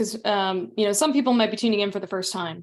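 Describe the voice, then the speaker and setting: Speaking in an American accent, a woman keeps her pitch medium. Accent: slight Southern, mostly suppressed. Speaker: community meeting host. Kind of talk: casual chat.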